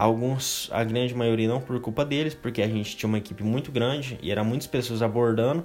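Hardly pausing, a man speaks at a medium pitch with ordinary pitch variation. Noticeable background noise runs underneath. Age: 20s. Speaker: podcast host. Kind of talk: casual monologue. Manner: casual, filler-heavy.

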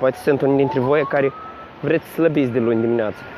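At a very fast pace and with fairly even intonation, a man with a fairly high pitch speaks over noticeable background noise. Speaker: podcast host. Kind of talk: casual monologue. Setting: outdoors, walking to work.

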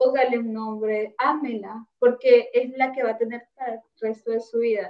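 Fairly slow and high-pitched, a woman's voice unfolds. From Honduras, La Paz. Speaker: student podcast co-host. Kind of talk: casual discussion.

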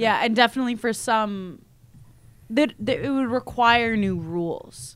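This woman has an ordinary speaking voice, fairly high in pitch, with ordinary pitch variation and an American accent. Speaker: graduate student and podcast co-host. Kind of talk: casual chat.

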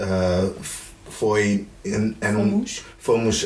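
There is noticeable background noise and audible room echo around a man whose voice sits at a fairly low pitch. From Greece. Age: 20s. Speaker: guest friend. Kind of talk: casual chat. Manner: halting.

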